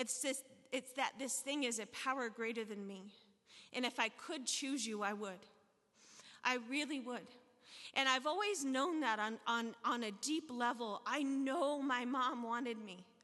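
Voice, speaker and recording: In an American accent, a woman speaks at a fairly slow pace with a high pitch, a bright, sharp tone and ordinary pitch variation. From US South (Tennessee, Arkansas). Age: 40s. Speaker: recovery speaker sharing her story. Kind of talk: testimony at recovery meeting. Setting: stage with audience. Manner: casual, conversational with fillers.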